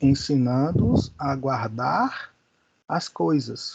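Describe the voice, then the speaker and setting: A man's fairly high-pitched voice comes across as somewhat breathy. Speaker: Bible school teacher. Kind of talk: lecture. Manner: slow.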